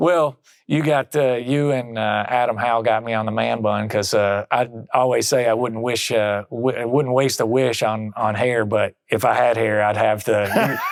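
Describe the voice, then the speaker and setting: Speaking in a Southern accent, a man keeps a very even loudness, a fairly slow pace, and fairly even intonation. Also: medium pitch for a man. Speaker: company finance executive. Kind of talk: casual chat. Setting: recorded in Helsinki, Finland during a conference.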